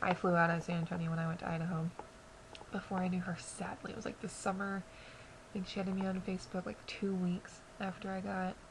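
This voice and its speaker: Quiet and at a medium pitch, a woman talks at a fairly quick pace with monotone, flat intonation. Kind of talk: casual talk to camera. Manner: quiet, subdued.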